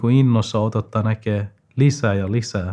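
Very slowly and with fairly even intonation, a man with a non-native accent speaks in a dark, mellow tone, captured in a very clean recording with a silent background. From Afghanistan. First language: not Finnish (speaking Finnish). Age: 20s. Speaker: student. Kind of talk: interview. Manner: halting, many fillers.

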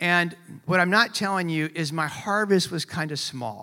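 On a very clean recording with a silent background, a man with a high pitch for a man and a bright, sharp tone speaks at a fairly slow pace. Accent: Californian. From California, US. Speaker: pastor. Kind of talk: sermon. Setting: church. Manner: casual, conversational.

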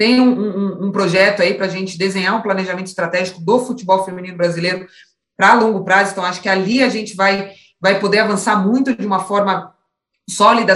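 Her medium-pitched voice stays monotone and flat as the woman talks at a fairly quick pace. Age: 30s. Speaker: former professional footballer. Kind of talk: interview.

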